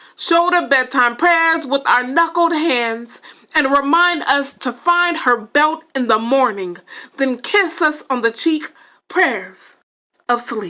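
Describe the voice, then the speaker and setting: A woman's high, bright and sharp voice with an American accent, raised and projected, lively in intonation, at a very slow pace. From Los Angeles, California. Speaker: poet and writer. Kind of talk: spoken word poetry reading.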